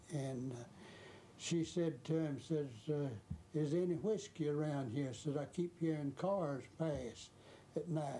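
Delivered at a fairly slow pace with long, frequent pauses, this voice in a Georgia accent has a dark, mellow tone and is somewhat breathy. Its loudness is very even, and its pitch varies in an ordinary way. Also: man, fairly high pitch for a man. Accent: rural Southern US (Georgia). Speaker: former chauffeur. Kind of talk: interview reminiscence.

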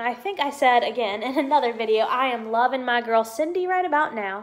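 The speaker has an American accent and keeps a moderate pace. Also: woman. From US South. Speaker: YouTuber, Disney pin collector; YouTuber. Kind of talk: casual vlog, unboxing. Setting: at home. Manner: hesitant, many fillers. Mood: cheerful, excited. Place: home room. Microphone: phone near.

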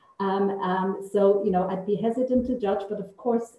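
There is audible room echo around a woman speaking at a fairly quick pace. Her medium-pitched voice shows ordinary pitch variation. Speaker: political researcher. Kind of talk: panel discussion. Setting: video call. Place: office. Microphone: video call.

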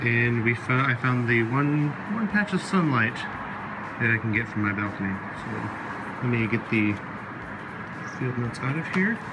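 A man speaks at a fairly slow pace. Loud background noise runs throughout. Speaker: product reviewer. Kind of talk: casual unboxing commentary. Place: home room.

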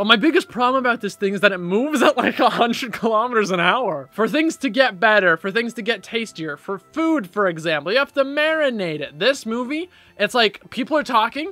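With faint music in the background, a man speaks at a fairly quick pace in a raised, projected voice, with hardly any pauses. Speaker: vlogger. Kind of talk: casual vlog chat. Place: home room. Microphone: phone near.

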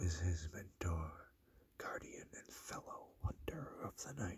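Whispering, a man goes along at a very slow pace. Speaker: ASMR collector. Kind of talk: ASMR talk to camera. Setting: dim room, lo-fi recording. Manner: soft-spoken, low voice. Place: home room. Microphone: phone near.

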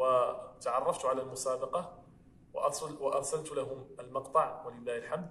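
Speaking at a fairly slow pace, a man is heard with audible room echo. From Morocco. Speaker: Quran reciter. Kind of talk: interview answer. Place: church.

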